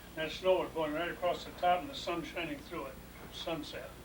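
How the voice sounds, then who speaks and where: Someone talks very fast with an American accent. Background noise is noticeable. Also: man. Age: 80s+. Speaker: retired farm-raised county official. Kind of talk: family reminiscence conversation.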